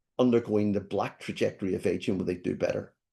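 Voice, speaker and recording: Against a quiet background, a man with a Scottish accent talks at a fairly quick pace, his medium-pitched voice dark and mellow with ordinary pitch variation. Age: 60s. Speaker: professor. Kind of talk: lecture.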